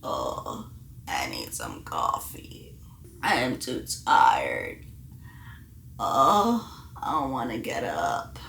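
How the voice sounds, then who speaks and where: In a creaky, put-on character voice, a man speaks at a very slow pace with long, frequent pauses. Light background noise is present. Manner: sleepy.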